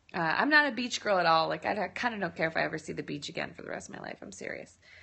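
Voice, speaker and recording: Speaking with an American accent, a woman shows lively intonation and vocal fry. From US Midwest, Illinois. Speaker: lifestyle blogger. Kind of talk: live-stream Q&A. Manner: casual, chatty.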